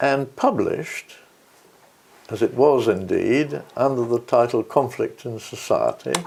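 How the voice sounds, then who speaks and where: Speaking with a British RP accent, a man goes at a fairly slow pace with long, frequent pauses. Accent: older British RP. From England. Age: 80s+. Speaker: peace and conflict researcher. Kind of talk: interview. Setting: at home. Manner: halting, with many fillers.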